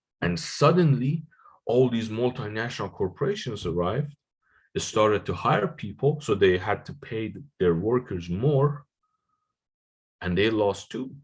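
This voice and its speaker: A man speaks in a somewhat breathy, medium-pitched voice at a moderate pace, with lively intonation. Long, frequent pauses break up his speech against a quiet background. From Iran. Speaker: economics lecturer. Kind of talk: lecture.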